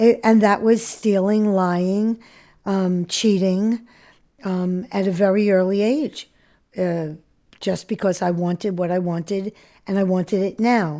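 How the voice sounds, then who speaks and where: On a very clean recording with a silent background, a woman with an American accent speaks fairly slowly at a medium pitch. Her tone is dark and mellow, her intonation fairly even. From New York City. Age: 70s. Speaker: recovering addict sharing her story. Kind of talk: interview testimony. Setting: podcast interview. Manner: halting, many fillers.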